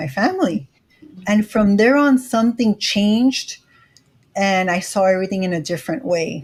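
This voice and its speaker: A woman speaks at a moderate pace and medium pitch with lively intonation. Her voice is somewhat breathy. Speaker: credit educator and YouTuber. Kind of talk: interview.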